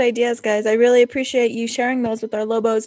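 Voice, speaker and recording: The speaker is a woman with a fairly high pitch. She talks at a fairly quick pace. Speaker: podcast host. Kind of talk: casual chat. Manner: fast.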